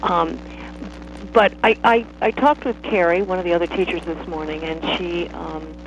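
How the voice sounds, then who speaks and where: A woman's voice amid noticeable background noise. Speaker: dance teacher. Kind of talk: guided movement meditation. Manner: crisp, staccato.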